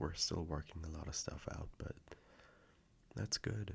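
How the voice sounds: A man in a put-on character voice speaks at a fairly slow pace, his extremely low pitch carrying vocal fry and ordinary pitch variation.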